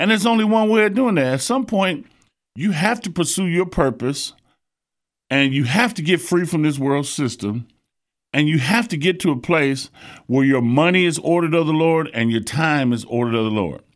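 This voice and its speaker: At a moderate pace, a man with a fairly high pitch makes very wide pitch swings in a very clean recording with a silent background. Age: 60s. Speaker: preacher. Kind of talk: sermon.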